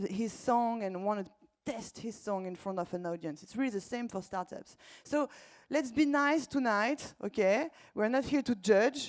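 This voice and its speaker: Speaking at a moderate pace, a woman uses a fairly high pitch. She has a French accent. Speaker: startup accelerator co-founder and event host. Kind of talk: live event introduction. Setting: stage with audience. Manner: hesitant with fillers.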